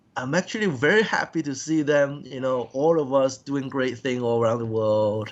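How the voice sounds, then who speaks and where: Someone with a Cantonese accent speaks at a fairly slow pace with ordinary pitch variation. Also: man. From Hong Kong. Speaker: professional wrestler. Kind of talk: interview. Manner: halting.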